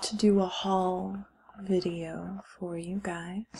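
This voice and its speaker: Soft-spoken and gentle in tone, a woman speaks at a very slow pace and a medium pitch with monotone, flat intonation. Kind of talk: ASMR haul / unboxing talk to camera. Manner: soft-spoken, gentle.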